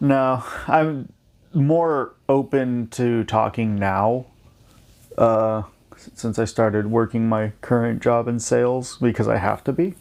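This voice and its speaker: Very slow and quiet, a man speaks at a medium pitch with big swings in loudness. The recording is very clean, with a silent background. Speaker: podcast host's brother. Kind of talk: casual chat. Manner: monotone.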